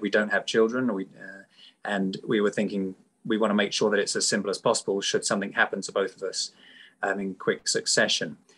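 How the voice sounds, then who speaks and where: A man talks in a British accent. Behind him, things are quiet. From UK. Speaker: charity supporter. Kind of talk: testimony. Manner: halting.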